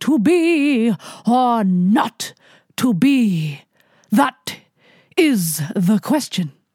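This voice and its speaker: A woman puts on a booming, theatrical character voice at a fairly high pitch, with very wide pitch swings. She goes at a very slow pace with long, frequent pauses. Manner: declamatory, theatrical.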